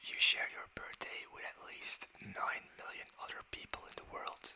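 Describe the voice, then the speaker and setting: The voice is whispering at a fairly slow pace. Noticeable background noise sits behind it. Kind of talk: ASMR fact reading. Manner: whispered, soft-spoken.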